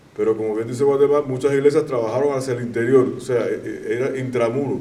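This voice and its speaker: A man rattles along at a very fast pace in a flat monotone, with audible room echo. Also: medium pitch for a man. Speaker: church leader. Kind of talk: testimony.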